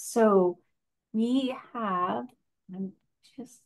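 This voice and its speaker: Her voice sits fairly high for a woman. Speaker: event moderator. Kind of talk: moderated Q&A. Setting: video call.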